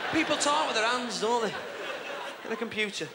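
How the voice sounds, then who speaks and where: A man's voice under loud background noise. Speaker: stand-up comedian. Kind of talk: live stand-up comedy performance. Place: stage. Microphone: handheld.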